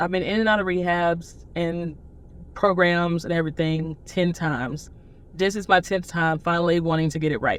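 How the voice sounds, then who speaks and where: A woman with a Southern US accent, fairly low in pitch, at a moderate pace. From US South, Nashville, Tennessee. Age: 30s. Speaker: person in addiction recovery. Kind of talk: testimony.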